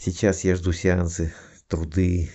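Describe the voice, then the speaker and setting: A man talks with a very deep, low pitch. His voice is somewhat breathy. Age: 50s. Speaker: student of a hypnosis school giving a testimonial. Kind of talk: testimony.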